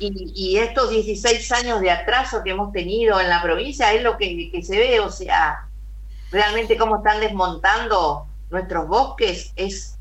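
A woman talks fairly slowly over noticeable background noise, with audible room echo. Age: 60s. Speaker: politician. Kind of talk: radio interview. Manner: emphatic.

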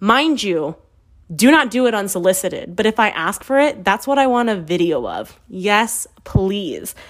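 A woman's medium-pitched voice, animated in tone, with lively intonation at a moderate pace. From US West Coast. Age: 30s. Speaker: podcast host. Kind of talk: casual monologue.

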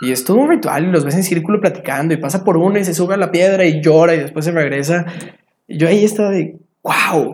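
This man's voice is high in pitch and moves with ordinary variation. He talks very fast. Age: 20s. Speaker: traveler and photographer. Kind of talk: casual interview chat.

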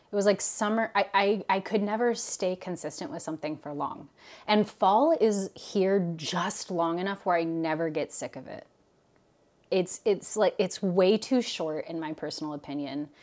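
A woman with an American accent speaks at a moderate pace in an ordinary speaking voice, her medium pitch carried by lively intonation and big swings in loudness, on a very clean recording with a silent background. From US Pacific Northwest. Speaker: podcast co-host, therapist. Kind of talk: casual chat.

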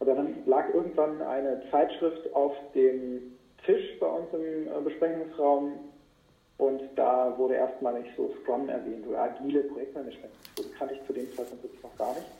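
Audible room echo surrounds a man whose loudness swings widely. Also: moderate pace. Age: 40s. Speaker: entrepreneur, podcast host. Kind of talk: interview. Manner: hesitant, many fillers. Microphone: poor sound quality.

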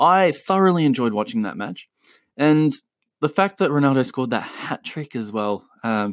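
With an Australian accent, a man talks at a moderate pace using very wide pitch swings, in a dry, close sound with no echo. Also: very clean recording, silent background. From Chile. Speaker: football podcast host. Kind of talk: solo podcast commentary. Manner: casual, with frequent filler words.

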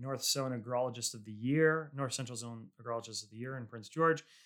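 Moderate pace and ordinary pitch variation from a normal speaking voice. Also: man. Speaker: podcast host and winery founder. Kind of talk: casual interview.

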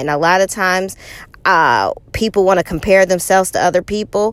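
A woman speaks at a moderate pace with medium pitch and ordinary pitch variation. It is an unremarkable speaking voice. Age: 40s. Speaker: podcast host and motivational speaker. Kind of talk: personal monologue.

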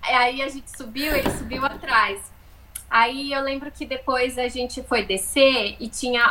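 Against noticeable background noise, a woman uses a raised, projected voice. Her pitch is high. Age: 30s. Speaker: podcast co-host, travel content creator. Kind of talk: casual chat, storytelling.

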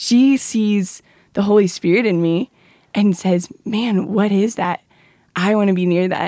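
A medium-pitched woman speaks in an unremarkable speaking voice at a fairly slow pace, with fairly even intonation. The recording is very clean with a silent background and a dry, close sound with no echo. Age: 20s. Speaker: college student. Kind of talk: testimony.

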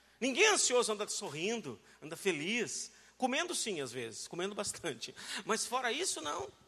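A man's high, raised and projected voice, animated and bright, sharp in tone, with very wide pitch swings at a moderate pace. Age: 40s. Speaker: pastor. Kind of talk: sermon.

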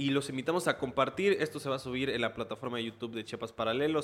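A man's medium-pitched voice, varying in pitch in an ordinary way, carries over noticeable background noise. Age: 20s. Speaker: podcast host and reporter. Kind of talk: casual conversational interview. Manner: hesitant, many fillers.

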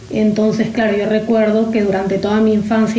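A woman is heard over noticeable background noise, with audible echo in the room. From Peru, Lima. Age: 30s. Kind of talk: interview testimony. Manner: halting, frequent repetitions.

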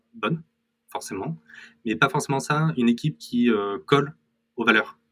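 Music sits behind a man whose intonation rises and falls with liveliness. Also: long, frequent pauses, big swings in loudness. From France, Corrèze. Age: 30s. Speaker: startup founder. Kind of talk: casual interview.

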